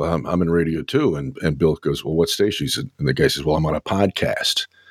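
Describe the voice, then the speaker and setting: A man's very deep, low voice with vocal fry moves at a fairly quick pace, recorded dry and close with no echo. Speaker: radio show host. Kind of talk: casual chat. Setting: live stream.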